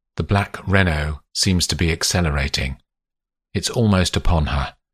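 A man talks with a very deep, low pitch and ordinary pitch variation. The recording is very clean, with a silent background. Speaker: audiobook narrator. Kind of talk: literary audiobook reading, third-person fiction narration. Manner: measured, atmospheric, storytelling pace; shifts into character voices for dialogue.

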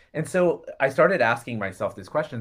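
With an American accent, this man has a bright, sharp tone, a fairly high pitch and lively intonation. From Florida. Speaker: podcast co-host, healer and facilitator. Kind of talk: casual chat. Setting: video call.

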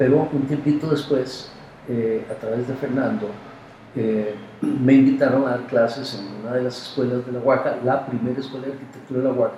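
A man at a medium pitch talks at a moderate pace with fairly even intonation, with noticeable background noise and audible room echo. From Costa Rica, San José. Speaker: architect and university professor. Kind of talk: interview.

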